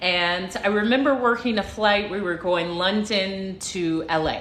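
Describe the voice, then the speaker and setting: Audible room echo surrounds a woman with an American accent. She talks at a fairly slow pace, with a medium pitch and ordinary pitch variation. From United States. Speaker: livestream motivational speaker, former flight attendant. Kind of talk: casual livestream storytelling. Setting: live stream. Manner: animated, repetitive.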